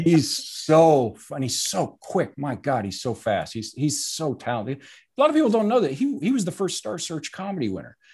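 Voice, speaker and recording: With hardly any pauses and a quiet background, a man talks at a moderate pace, his pitch swinging very widely through vocal fry. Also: fairly high pitch for a man. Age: 50s. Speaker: actor and comedian, football writer. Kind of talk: casual chat.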